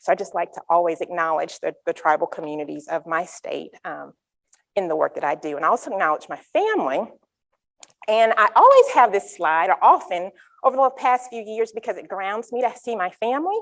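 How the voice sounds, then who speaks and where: A woman with a North Carolina accent, fairly quick and full of very wide pitch swings. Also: medium pitch for a woman. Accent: Southern US (North Carolina). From North Carolina, US South. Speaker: psychology researcher. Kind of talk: conference talk.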